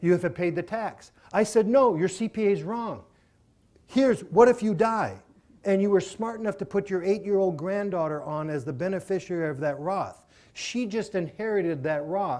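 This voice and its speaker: The speaker has an American accent and talks at a moderate pace with ordinary pitch variation on a very clean recording with a silent background. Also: man, high pitch for a man. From Minnesota. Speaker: self-directed IRA specialist speaker. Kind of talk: seminar presentation with Q&A. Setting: live audience at a seminar.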